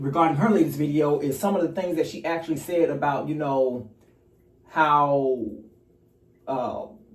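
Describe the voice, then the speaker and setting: A somewhat breathy man, fairly high in pitch, at a moderate pace with ordinary pitch variation, long and frequent pauses, and audible room echo. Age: 40s. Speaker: YouTube commentator. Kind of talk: casual commentary vlog. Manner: rambling with many fillers.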